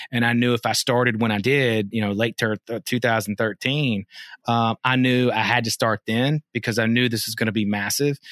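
A man's medium-pitched voice at a moderate pace, in a dry, close recording with no echo. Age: 40s. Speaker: cannabis industry consultant. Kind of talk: interview. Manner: animated.

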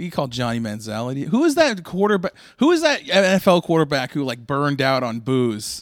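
An unremarkable speaking voice from a man, fairly high in pitch, fairly quick with hardly any pauses and lively intonation, in a very clean recording with a silent background. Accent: American. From Boston. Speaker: comedian. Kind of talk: casual chat.

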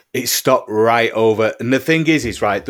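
A man at medium pitch with a British accent and ordinary pitch variation, on a very clean recording with a silent background. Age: 40s. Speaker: musician and UFO experiencer. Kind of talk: interview testimony. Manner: halting, many repetitions.

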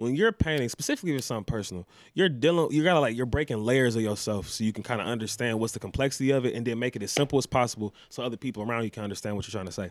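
A man talks at a very fast pace with hardly any pauses, his medium pitch moving with ordinary variation in a dry, close sound with no echo. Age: 20s. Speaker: artist and painter. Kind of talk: casual chat. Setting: studio.

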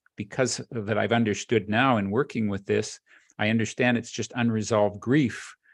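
A man with a normal speaking voice, medium pitch and fairly even intonation, at a moderate pace against a quiet background. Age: 60s.

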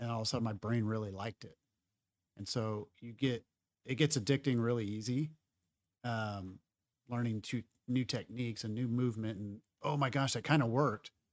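Intonation stays fairly even, with long, frequent pauses. The sound is dry and close, with no echo. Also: man, medium pitch for a man, fairly quick pace. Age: 40s. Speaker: jiu-jitsu hobbyist and parent. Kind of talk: casual chat. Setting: studio.

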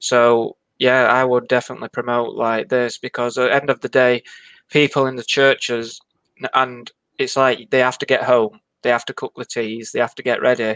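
At a moderate pace, a man speaks at medium pitch in a flat monotone. The recording is very clean and dry, close with no echo, with a silent background. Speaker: novice spiritualist medium. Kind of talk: panel discussion.

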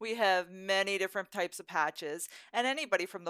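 Over a silent background on a very clean recording, a woman with a normal speaking voice talks at a moderate pace with fairly even intonation. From southern Alberta, Canada. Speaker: cosplay fan group member. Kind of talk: casual chat.

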